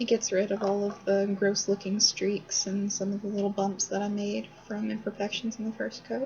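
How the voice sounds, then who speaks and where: Mumbling at a moderate pace with hardly any pauses, a woman speaks at medium pitch in a monotone, flat intonation. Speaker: student learner. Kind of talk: casual chat. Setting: dorm lobby.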